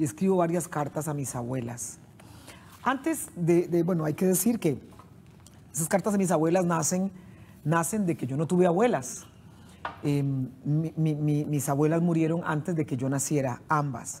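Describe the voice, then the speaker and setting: Over light background noise, a woman with a very deep, low voice speaks at a fairly slow pace, using ordinary pitch variation and long, frequent pauses. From Costa Rica, San José (Central Valley); Costa Rica. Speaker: poet and writer; poet. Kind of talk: interview. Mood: warm, reflective. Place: studio. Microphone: lapel.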